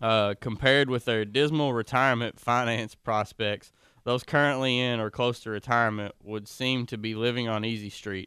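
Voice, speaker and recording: A man talks at a moderate pace with a bright, sharp tone, medium pitch and fairly even intonation. The recording is very clean, with a silent background. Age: 20s. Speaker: financial advisor. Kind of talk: casual chat.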